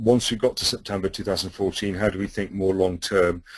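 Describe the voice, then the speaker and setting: This is a man with a British accent. He talks at a fairly quick pace in a monotone, flat intonation. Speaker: webinar presenter on policy toolkit. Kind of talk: webinar presentation. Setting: webinar. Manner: fast.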